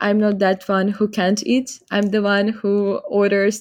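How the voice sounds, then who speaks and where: In a very clean recording with a silent background, a woman at medium pitch speaks at a very slow pace. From Ukraine, Donetsk. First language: Ukrainian or Russian. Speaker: student. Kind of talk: interview conversation.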